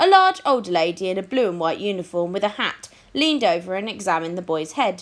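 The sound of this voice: Reading in an unforced voice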